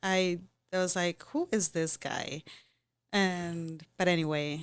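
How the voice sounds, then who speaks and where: A woman's medium-pitched voice comes through a very clean recording with a silent background. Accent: non-native. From Costa Rica. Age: 30s. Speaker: podcast co-host. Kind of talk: casual chat.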